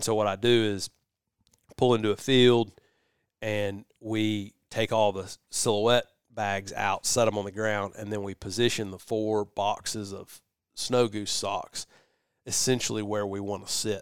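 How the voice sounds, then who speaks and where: Recorded very clean against a silent background, with a dry, close sound and no echo, a man with a Southern US accent speaks in a monotone, flat intonation at a fairly low pitch. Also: fairly slow pace. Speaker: podcast host. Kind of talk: casual chat. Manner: laughing, relaxed.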